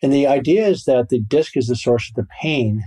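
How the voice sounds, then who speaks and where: A man speaks at a fairly quick pace in a dark, mellow tone that is somewhat breathy. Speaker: orthopedic spine surgeon. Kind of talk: interview.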